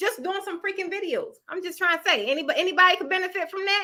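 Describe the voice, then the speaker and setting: An extremely high-pitched woman with an American accent projects a raised voice, her tone bright, sharp and animated. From Baltimore, Maryland, US. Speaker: online business coach and YouTuber. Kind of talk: livestream motivational talk. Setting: live stream.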